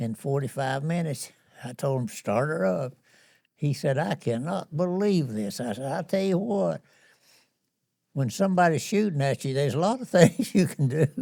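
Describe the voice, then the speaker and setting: A fairly high-pitched man with an American accent, very wide pitch swings and a moderate pace, on a very clean recording with a silent background. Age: 80s+. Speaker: war veteran. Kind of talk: interview answer.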